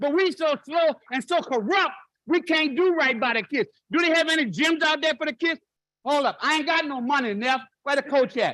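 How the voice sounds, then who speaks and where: A man's raised, projected voice, extremely high-pitched, bright and sharp, animated in tone, with ordinary pitch variation, a moderate pace and a dry, close sound with no echo. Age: 70s. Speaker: public commenter, war veteran. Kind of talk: public comment at council meeting. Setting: city council chamber.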